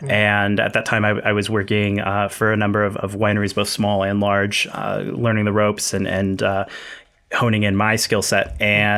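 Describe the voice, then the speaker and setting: A man with a West Coast accent, fairly low pitch, fairly quick pace and monotone, flat intonation. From Northern California. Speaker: winery owner and winemaker. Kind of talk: casual chat.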